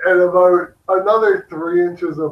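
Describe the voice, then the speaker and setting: With a Canadian accent, a man speaks in a plain, everyday voice, fairly high in pitch, at a fairly slow pace with fairly even intonation. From Canada. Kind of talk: casual chat.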